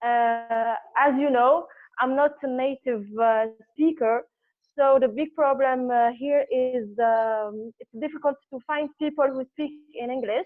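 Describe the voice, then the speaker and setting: A woman with an Arabic accent and a high pitch, fairly even intonation, a fairly slow pace and big swings in loudness. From Algeria. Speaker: public speaking club member. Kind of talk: impromptu speech. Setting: video call. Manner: halting.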